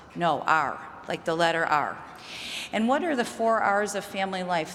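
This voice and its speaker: A woman with a slight Chicago accent speaks at a medium pitch with ordinary pitch variation. There is audible room echo and noticeable background noise. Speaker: mental health researcher. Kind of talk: conference talk.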